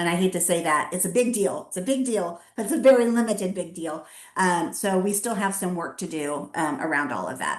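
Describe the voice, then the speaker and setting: A woman with a normal speaking voice talks at a fairly quick pace and medium pitch, with hardly any pauses. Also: lively intonation. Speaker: nonprofit CEO. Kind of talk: webinar presentation. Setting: video webinar.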